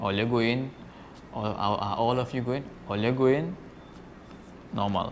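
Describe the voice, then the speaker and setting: With a Trinidadian accent, a man talks at a fairly slow pace and a medium pitch, with ordinary pitch variation and long, frequent pauses. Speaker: fisherman. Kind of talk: casual talk to camera. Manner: demonstrating Trini slang phrases.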